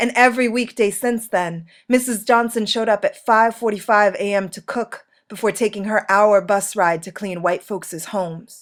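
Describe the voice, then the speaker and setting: A woman's plain, everyday voice at medium pitch, moderate pace and fairly even intonation, on a very clean recording with a silent background. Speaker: poet. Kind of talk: spoken word poetry performance.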